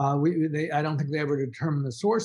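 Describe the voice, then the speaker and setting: Here a man talks in an American accent, fairly high-pitched and somewhat breathy. The background is quiet. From Texas, Dallas. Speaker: author and journalist. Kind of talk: interview. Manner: halting.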